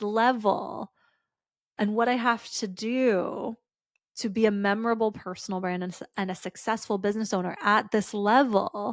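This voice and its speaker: On a very clean recording with a silent background, a woman with a fairly high pitch and an animated tone speaks at a moderate pace, her loudness swinging widely. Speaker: podcast host. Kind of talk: solo podcast monologue. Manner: excitable, animated; casual, stream-of-consciousness.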